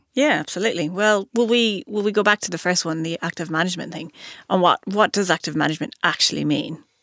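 Very fast, a woman with an Irish accent speaks in a dry, close sound with no echo on a very clean recording with a silent background. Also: medium pitch for a woman, ordinary pitch variation. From Ireland. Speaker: podcast host and investment analyst. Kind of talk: casual interview chat.

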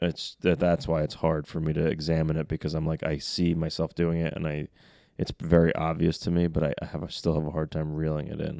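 On a very clean recording with a silent background, a man speaks in a very deep, low pitch with a dark, mellow tone and monotone, flat intonation. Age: 30s. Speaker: host's husband. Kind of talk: casual chat. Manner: loud.

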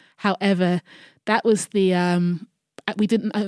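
Moderate pace and fairly even intonation in a London accent, with a dry, close sound, no echo and a very clean recording over a silent background. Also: woman. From South London, Croydon. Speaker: eco-friendly events entrepreneur. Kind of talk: interview.

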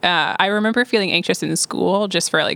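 A woman's bright, sharp voice with vocal fry, fairly even intonation and a moderate pace. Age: 20s. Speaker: youth ministry leader. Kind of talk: casual chat.

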